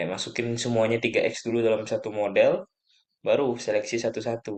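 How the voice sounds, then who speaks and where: A man at a moderate pace. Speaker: lecturer / tutor. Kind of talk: lecture. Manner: soft-spoken; halting.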